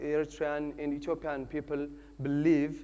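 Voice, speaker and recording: A man's fairly high voice with a dark, mellow tone and audible room echo. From Eritrea. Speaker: church servant giving a talk. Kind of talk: lecture. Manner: halting.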